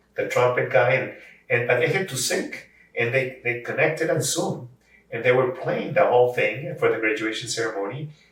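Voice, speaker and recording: Medium-pitched male voice at a moderate pace, with ordinary pitch variation and audible room echo. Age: 70s. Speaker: voice actor and language services company head. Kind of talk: interview conversation. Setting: at his home. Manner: halting with many repetitions.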